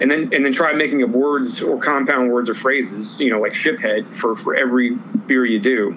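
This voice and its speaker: A man at medium pitch, moderate pace, ordinary pitch variation and very even loudness, with noticeable background noise. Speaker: craft beer news segment co-host. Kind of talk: casual chat. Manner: relaxed, conversational.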